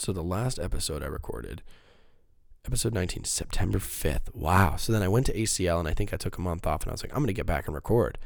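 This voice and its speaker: Speech races at a very fast pace with lively intonation. Vocal fry runs through the voice. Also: man, very deep, low pitch for a man. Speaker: podcast host. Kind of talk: casual solo monologue. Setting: home recording on laptop.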